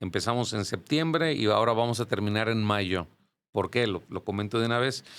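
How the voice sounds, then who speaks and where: Speaking in a plain, everyday voice, a man stays fairly low in pitch and lets it shift in an ordinary way. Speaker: church music teacher and choir director. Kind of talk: podcast interview.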